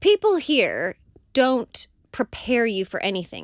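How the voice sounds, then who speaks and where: On a very clean recording with a silent background and a dry, close sound with no echo, a woman speaks with vocal fry and very wide pitch swings. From Oklahoma. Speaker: podcast co-host. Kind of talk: casual chat. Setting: studio.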